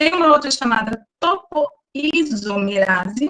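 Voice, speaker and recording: Her intonation is lively while this woman talks at a very slow pace. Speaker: biology teacher. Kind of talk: online lecture. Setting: online class.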